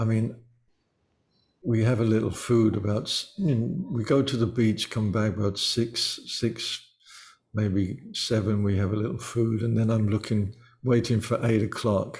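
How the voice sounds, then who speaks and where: A somewhat breathy voice at a fairly slow pace, with fairly even intonation and very even loudness. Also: man, medium pitch for a man. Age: 70s. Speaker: musician. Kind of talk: interview.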